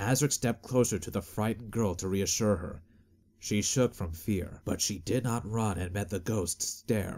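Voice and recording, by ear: The pitch shows ordinary variation. It is reading aloud in a natural voice.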